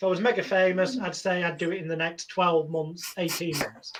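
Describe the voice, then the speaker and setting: Here a man speaks with a high pitch. He talks in a Lancashire accent. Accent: northern English (Lancashire). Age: 40s. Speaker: hypnotherapist. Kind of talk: interview.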